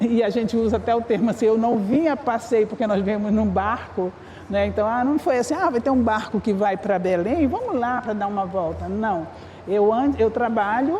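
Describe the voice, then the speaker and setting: Speaking at a moderate pace, a woman with fairly high pitch and ordinary pitch variation holds very even loudness amid audible room echo and noticeable background noise. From northern Brazil, Amapá. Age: 60s. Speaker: communication researcher. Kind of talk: panel discussion. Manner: halting, many restarts.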